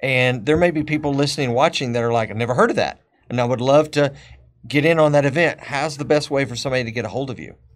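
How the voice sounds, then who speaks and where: A very fast-talking man with a fairly high voice and ordinary pitch variation. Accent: Texas. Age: 50s. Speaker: podcast host. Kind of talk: casual chat. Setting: studio.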